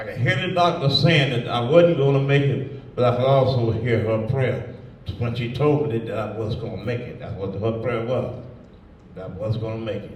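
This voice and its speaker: A man's medium-pitched voice with big swings in loudness, over noticeable background noise. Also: ordinary pitch variation, moderate pace. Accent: American. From Southern US, Georgia. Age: 80s+. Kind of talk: interview answer. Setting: live audience event in a museum.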